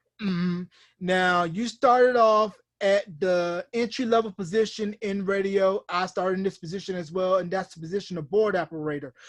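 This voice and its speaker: In a Southern US accent, a man with a high pitch talks at a moderate pace with ordinary pitch variation, sounding dry and close with no echo over a quiet background. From US South, rural northeastern North Carolina. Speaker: podcast host, former radio board operator. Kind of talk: interview. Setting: video call.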